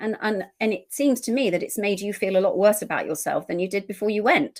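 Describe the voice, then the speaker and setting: A woman speaks with an English accent. She talks very fast. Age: 60s. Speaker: eating behaviour practitioner. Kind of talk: podcast interview.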